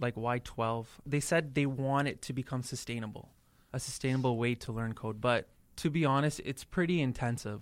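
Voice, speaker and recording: This man has an ordinary speaking voice at a medium pitch, fairly even intonation, and a Canadian accent. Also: moderate pace. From Toronto, Canada. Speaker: coding boot camp student. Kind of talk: casual interview chat.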